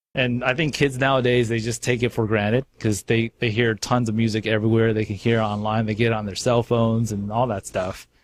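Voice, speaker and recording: In a Californian accent, a man speaks at a fairly quick pace with monotone, flat intonation on a very clean recording with a silent background. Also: medium pitch for a man, hardly any pauses, dry, close sound with no echo. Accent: California. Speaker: radio host. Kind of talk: casual chat.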